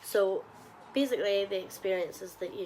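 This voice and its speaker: A woman's medium-pitched voice with a strong Northern Irish accent, at a moderate pace. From Northern Ireland, Ballymena. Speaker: travel vlogger. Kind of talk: casual vlog monologue.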